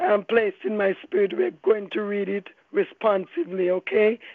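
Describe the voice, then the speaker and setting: A woman speaking at a fairly slow pace. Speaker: minister. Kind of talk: reading aloud scripture. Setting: phone call.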